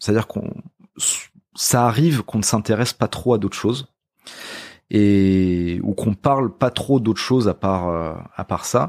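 In a very clean recording with a silent background and a dry, close sound with no echo, a man talks at a fairly slow pace in a fairly low pitch, with ordinary pitch variation and long, frequent pauses. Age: 30s. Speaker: musician. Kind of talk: casual chat. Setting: at the host's home.

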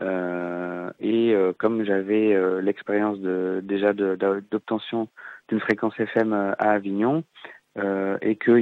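A man's monotone voice with flat intonation. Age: 20s. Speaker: former community radio project manager. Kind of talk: interview. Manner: hesitant, many fillers.

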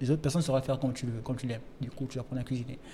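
A man speaks in a dark, mellow, somewhat breathy tone with monotone, flat intonation. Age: young. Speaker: writer. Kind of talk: casual chat. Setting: restaurant.

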